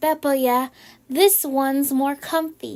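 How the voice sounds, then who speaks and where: This is a put-on character voice. It moves somewhat slowly. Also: woman, high pitch for a woman. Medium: read story. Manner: brief and offhand.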